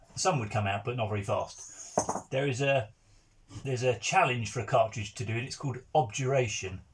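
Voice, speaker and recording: Somewhat breathy speech in an English accent moves at a moderate pace with ordinary pitch variation. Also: man, medium pitch for a man. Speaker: countryside YouTuber. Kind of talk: tutorial.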